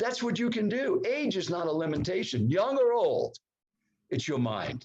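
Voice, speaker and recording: His pitch swings very widely from high to low. The man keeps to a moderate speed. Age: 80s+. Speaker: professional speaking coach. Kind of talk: podcast interview. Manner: energetic, enthusiastic.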